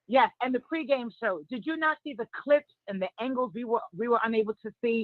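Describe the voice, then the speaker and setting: A woman speaks with a New York accent at a fairly quick pace. She leaves hardly any pauses, and her pitch varies in an ordinary way. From New York, Harlem. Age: 40s. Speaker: caller. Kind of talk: call-in chat.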